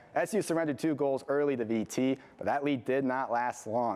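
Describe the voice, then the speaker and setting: A man speaks in an unremarkable speaking voice, fairly high in pitch, with ordinary pitch variation and a fairly quick pace. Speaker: student sports anchor. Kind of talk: TV sportscast.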